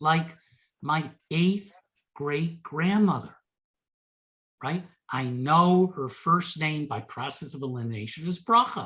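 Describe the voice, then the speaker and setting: A man with an American accent speaks at a very slow pace. He leaves long, frequent pauses against a quiet background. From United States. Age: 60s. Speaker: genealogy presenter. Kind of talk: Q&A after a presentation. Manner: stammering repetitions.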